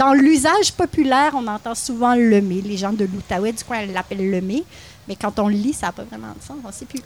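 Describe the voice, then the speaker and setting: Using an ordinary speaking voice, a woman with a fairly high pitch talks at a moderate pace with lively intonation. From Quebec, Mauricie (Louiseville near Trois-Rivières). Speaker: podcast co-host. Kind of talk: scripted narration; casual chat. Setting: live recording at a market.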